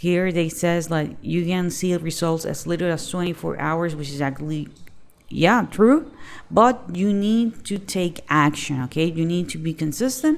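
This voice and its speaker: A woman speaks at a fairly low pitch and a fairly slow pace, with ordinary pitch variation. Hers is an unremarkable speaking voice. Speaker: online business youtuber. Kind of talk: tutorial.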